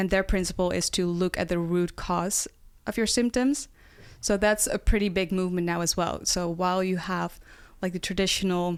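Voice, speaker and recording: Speaking with a Dutch accent, a woman keeps a medium pitch and fairly even intonation on a very clean recording with a silent background. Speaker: nutrition health coach. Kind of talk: casual podcast interview.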